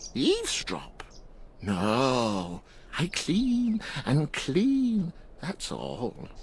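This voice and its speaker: Clear background noise accompanies a put-on character voice at a low-to-middle pitch, delivered at a very slow pace with long, frequent pauses. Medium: video game. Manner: halting, giggling.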